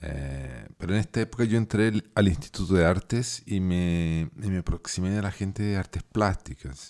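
A man's very deep, low voice at a moderate pace, with hardly any pauses and ordinary pitch variation. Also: very clean recording, silent background. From Chile and southern Brazil (Porto Alegre). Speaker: musician and podcast host. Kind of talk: casual monologue. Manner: halting.

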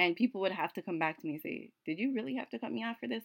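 An animated tone with vocal fry comes through at a very fast pace. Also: woman. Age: 20s. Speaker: faith podcaster. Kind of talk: casual talk, solo podcast monologue.

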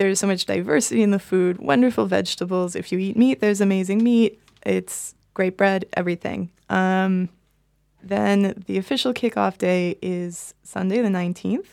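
A woman's medium-pitched voice with an American accent, moderate pace and ordinary pitch variation, on a very clean recording with a silent background. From Boston, US. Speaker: bakery owner. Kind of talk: interview. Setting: studio. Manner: halting, repeats words.

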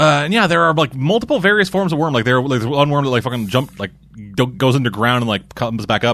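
Talking at a very fast pace, a man with a medium-pitched voice makes very wide pitch swings. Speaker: podcast host. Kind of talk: casual chat.

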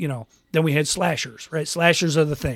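A man with an American accent, a normal speaking voice, fairly high pitch and ordinary pitch variation. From Western New York. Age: 50s. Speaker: podcast host. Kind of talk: casual chat. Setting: home podcast studio.

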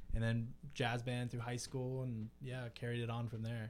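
Speaking at a fairly slow pace, a man of medium pitch has a normal speaking voice. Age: 20s. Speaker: guitarist and ocean engineer. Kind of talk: casual chat.

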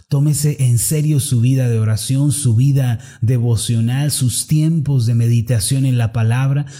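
A man talks at a fairly slow pace in a medium pitch with ordinary pitch variation. His voice is somewhat breathy, with a dark, mellow tone. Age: 30s. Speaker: preacher. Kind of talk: sermon. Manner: formal.

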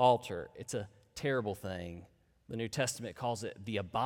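Reading aloud in a natural voice. Pitch variation is ordinary.

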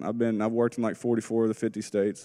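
The recording is very clean, with a silent background. A man speaks at a medium pitch with an American accent. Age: 30s. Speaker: rehab program student. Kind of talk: testimony. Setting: church with audience.

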